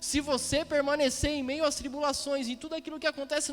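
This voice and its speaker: Against noticeable background noise, a man talks in an extremely high pitch with monotone, flat intonation. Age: 30s. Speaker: preacher. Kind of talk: sermon.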